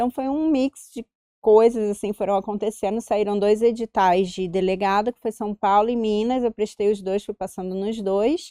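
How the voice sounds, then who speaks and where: A woman's fairly high-pitched voice in a Carioca accent, dark and mellow in tone, fairly even in intonation, with a dry, close sound and no echo. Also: moderate pace. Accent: Carioca (Rio de Janeiro). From Rio de Janeiro, Brazil. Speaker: police chief and union president. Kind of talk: interview.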